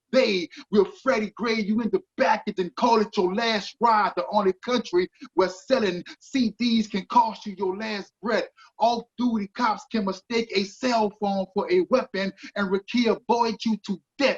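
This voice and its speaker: Speaking at a fairly slow pace with an American accent, a high-pitched man sounds passionate in a dry, close recording with no echo. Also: ordinary pitch variation. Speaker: spoken word poet. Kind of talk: spoken word poetry performance.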